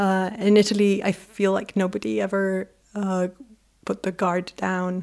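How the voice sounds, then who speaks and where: With a quiet background, a woman speaks at a fairly slow pace. Her pitch is medium and her intonation monotone and flat. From England and Mexico. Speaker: information designer. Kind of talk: interview.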